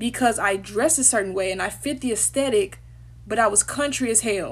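This woman talks with a Southern US accent. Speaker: former HBCU student. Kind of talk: casual talk to camera. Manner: casual, candid. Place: home room. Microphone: phone near.

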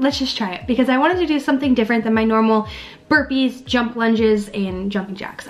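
A woman's high voice at a fairly quick pace, with faint music in the background. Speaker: fitness vlogger. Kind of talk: casual vlog chat. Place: home room. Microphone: webcam.

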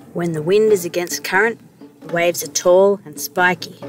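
Over music in the background, a woman talks at a fairly low pitch, the sound dry with no echo. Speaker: sailing vlog narrator. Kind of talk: travel vlog narration.

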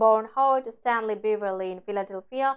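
A quiet background behind a woman's speech. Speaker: news anchor. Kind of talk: news reading. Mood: sombre, measured. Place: studio. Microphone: lapel.

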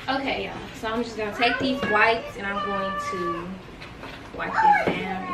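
A woman talks with ordinary pitch variation. Crowd noise is heard behind her. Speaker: DIY vlogger. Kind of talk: casual vlog chat. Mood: relaxed, pleased. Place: garage.

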